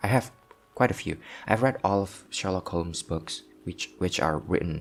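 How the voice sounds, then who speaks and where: Over music in the background, a man with a very deep, low pitch speaks at a moderate pace. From Southeast Asia. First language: not English, not Korean. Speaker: language learning vlogger. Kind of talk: casual vlog monologue. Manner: hesitant, many fillers.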